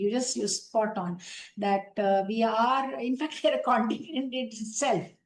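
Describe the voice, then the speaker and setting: At a moderate pace, a woman speaks in a somewhat breathy voice with a fairly high pitch. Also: ordinary pitch variation. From India, Uttar Pradesh near Varanasi. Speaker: women's rights activist. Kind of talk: interview.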